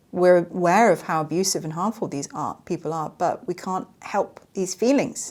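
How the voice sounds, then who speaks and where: A woman speaks in a plain, everyday voice, fairly low in pitch, at a moderate pace. The recording is very clean, with a silent background. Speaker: survivor advocate and comedy skit creator. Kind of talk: podcast monologue.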